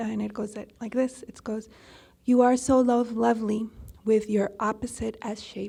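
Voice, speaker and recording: A woman with a slight Spanish accent speaks at a fairly high pitch. Her voice is somewhat breathy and her intonation monotone and flat. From Colombia. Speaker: poet.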